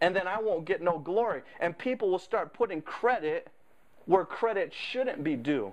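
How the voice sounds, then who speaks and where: High-pitched, a man talks with lively intonation. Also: moderate pace. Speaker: preacher. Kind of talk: sermon. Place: church.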